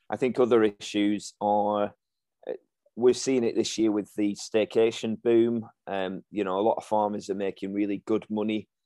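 A man with a Lancashire accent, fairly low in pitch, with a dark, mellow tone, monotone and flat intonation, at a moderate pace, in a dry, close sound with no echo. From Lancashire, England (Ribble Valley). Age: 30s. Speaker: farming magazine editor. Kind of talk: interview.

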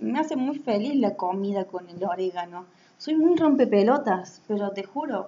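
Noticeable background noise surrounds a woman speaking at a moderate pace. Her medium-pitched voice makes very wide pitch swings. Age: 20s. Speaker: podcaster. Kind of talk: casual monologue. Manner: halting.

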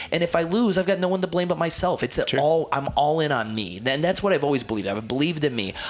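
At a very fast pace with hardly any pauses, a man with a fairly high pitch makes very wide pitch swings over noticeable background noise. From Ohio, US. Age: 30s. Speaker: gym owner and fitness consultant. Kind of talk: casual interview.

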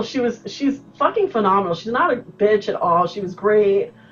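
A woman talks in an animated tone at a moderate pace, with very wide pitch swings. Noticeable background noise is present. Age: 40s. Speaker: podcast host. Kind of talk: casual chat.

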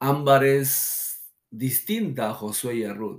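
As he speaks, the man's voice rises and falls in pitch in the usual way. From Peru, Lima. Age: 40s. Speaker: pastor. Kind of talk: testimony.

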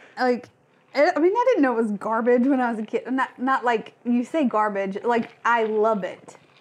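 Noticeable background noise behind a high-pitched female voice, moderately paced and with ordinary variation in pitch. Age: 30s. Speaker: podcast co-host. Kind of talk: casual chat.

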